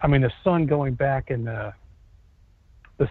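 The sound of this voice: This man's voice sits at a medium pitch and shows ordinary pitch variation.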